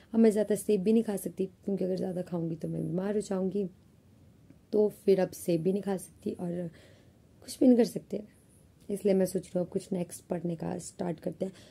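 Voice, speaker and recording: With a dark, mellow tone, a woman speaks at a moderate pace and medium pitch, somewhat breathy, with fairly even intonation. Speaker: vlogger, college student. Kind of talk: casual vlog talk. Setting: alone in her room. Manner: chatty, conversational.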